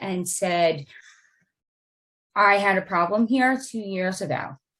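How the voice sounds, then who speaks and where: In a very clean recording with a silent background, a woman with a normal speaking voice talks at a fairly slow pace, at a medium pitch with ordinary pitch variation. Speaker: real estate transaction manager. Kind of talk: training presentation.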